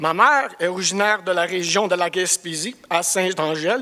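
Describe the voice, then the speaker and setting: A man uses a raised, projected voice. His pitch is high and his tone bright and sharp. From Cornwall, eastern Ontario, Canada (Franco-Ontarian). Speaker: construction project director. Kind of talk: business presentation. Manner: halting, searching for words.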